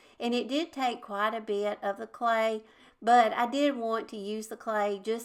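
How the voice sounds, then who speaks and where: A fairly high-pitched woman with a Southern US accent, fairly even intonation, and a moderate pace, on a very clean recording with a silent background. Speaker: DIY crafts YouTuber. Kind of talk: tutorial. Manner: casual, chatty.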